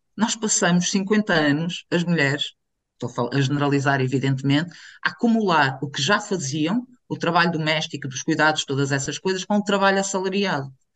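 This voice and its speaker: A woman with a very deep, low voice speaks at a moderate pace with lively intonation. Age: 40s. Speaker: activist. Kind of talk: casual chat.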